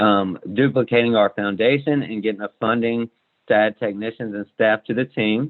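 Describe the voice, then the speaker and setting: Speaking fairly quickly, a man uses a medium pitch and fairly even intonation. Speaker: small business owner. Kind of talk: business pitch; Q&A answers. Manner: fast.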